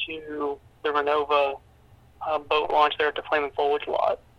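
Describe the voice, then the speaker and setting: A man with an American accent at a moderate pace. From Pennsylvania. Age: young. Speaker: small-town mayor. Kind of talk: interview. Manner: halting, with many fillers and repeats.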